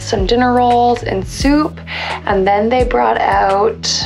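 The woman talks very slowly while clear music can be heard behind her. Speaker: travel vlogger. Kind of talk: casual vlog chat. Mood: relaxed, cheerful. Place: home room. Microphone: phone near.

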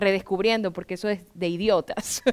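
There is a quiet background behind the woman speaking. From Ecuador, Guayaquil; Ecuador. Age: 40s. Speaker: writer; interviewee. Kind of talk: interview. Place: stage. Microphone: headset.

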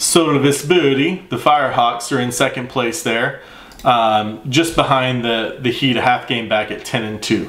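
Someone with an American accent talks at a moderate pace with ordinary pitch variation, with audible echo from the room. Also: man, medium pitch for a man. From Texas. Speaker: baseball podcaster and world history teacher. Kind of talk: casual solo sports vlog. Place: home room.

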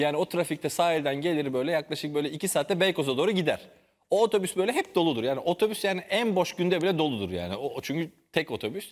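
At a very fast pace, a man with a high pitch speaks with lively intonation. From Turkey. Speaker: TV show host. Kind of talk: casual chat. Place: studio. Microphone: lapel.

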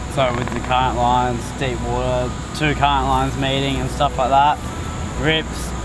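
The speech comes at a moderate pace, with noticeable background noise and a dry sound with no echo. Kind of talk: interview answer.

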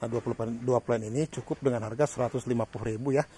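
A dark, mellow, somewhat breathy voice in a monotone, flat delivery, with a dry sound with no echo and light background noise. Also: man. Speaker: orchid seller. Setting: video recording in front of a camera, showing plants. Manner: fast, run-on, repetitive patter with 'ya' tags, urging buyers not to wait. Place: garden. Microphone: phone near.

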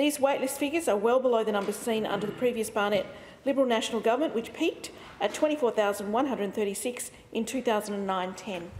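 There is light background noise as a woman talks at a moderate pace with ordinary pitch variation. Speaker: government minister answering question. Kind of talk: parliamentary answer read aloud. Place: hall. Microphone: podium.

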